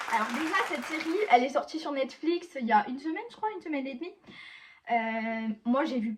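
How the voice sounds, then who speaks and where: In a southern French accent, the speaker talks at a moderate pace with lively intonation against noticeable background noise. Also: woman. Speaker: YouTuber, series reviewer. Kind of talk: casual video review to camera. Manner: halting, many hesitations.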